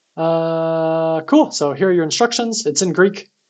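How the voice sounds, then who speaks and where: A man's high-pitched voice over background music. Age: 30s. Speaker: security researcher streaming CTF writeups. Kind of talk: live-streamed tutorial. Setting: live stream. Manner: fast; casual with frequent fillers.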